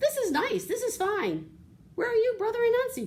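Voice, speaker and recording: This is a squeaky, put-on character voice with an extremely high pitch. It moves at a moderate pace. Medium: read story.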